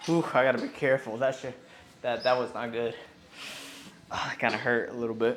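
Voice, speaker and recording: Over noticeable background noise and audible room echo, a man mumbles at a moderate pace in a medium-pitched voice. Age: 20s. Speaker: fitness vlogger. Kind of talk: casual gym vlog. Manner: mumbling.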